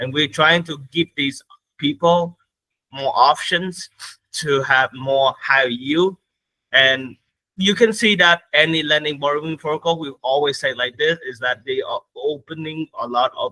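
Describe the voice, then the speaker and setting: Speaking at a fairly slow pace, a man with a non-native accent uses a fairly high pitch with ordinary pitch variation. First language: not English. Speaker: crypto platform growth lead. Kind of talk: interview. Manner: halting.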